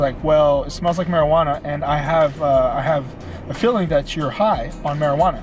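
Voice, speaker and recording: Music plays behind a man talking at a moderate pace. His pitch is fairly high and his intonation fairly even. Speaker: fitness vlogger. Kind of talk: storytime vlog. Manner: stutters; casual, filler-heavy.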